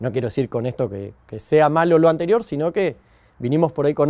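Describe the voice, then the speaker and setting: A man with an Argentine accent, fairly high pitch, lively intonation and a dark, mellow tone, against a quiet background. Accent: Rioplatense Argentine Spanish. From Argentina, Buenos Aires province (Saladillo); Buenos Aires province, Argentina. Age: 40s. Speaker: architect. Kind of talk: interview monologue. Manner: hesitant, many fillers. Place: farm machine.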